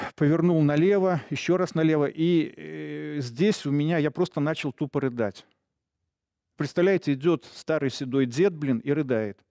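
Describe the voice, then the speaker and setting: Over a quiet background, a man talks at a fairly slow pace with ordinary pitch variation and very even loudness. His tone is dark and mellow, and the sound is dry with no echo. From Belarus. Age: old. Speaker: retired police officer; guest. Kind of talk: interview testimony; interview answer. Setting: studio. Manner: hesitant, filler-heavy. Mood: emotional, recounting violence. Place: studio. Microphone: lapel.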